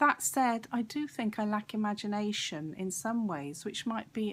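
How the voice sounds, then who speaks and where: A woman speaks at a moderate pace, her voice somewhat breathy. Her pitch is medium and her intonation lively. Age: 60s. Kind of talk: personal vlog monologue. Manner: hesitant, with fillers.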